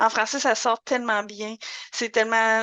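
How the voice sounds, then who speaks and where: A woman talks at a moderate pace and a medium pitch, in a dry, close sound with no echo. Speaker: language school director and teacher. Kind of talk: podcast interview. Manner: hesitant, many fillers.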